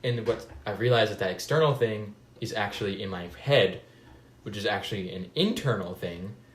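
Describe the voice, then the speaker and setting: Somewhat breathy, a man speaks at a fairly quick pace in a fairly low pitch. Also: ordinary pitch variation. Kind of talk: casual conversation. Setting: video call.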